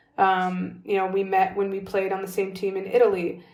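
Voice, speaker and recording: A woman with a medium pitch speaks at a moderate pace amid audible room echo. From California, US. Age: 30s. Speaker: professional basketball player. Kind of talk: interview conversation. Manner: casual, filler-heavy.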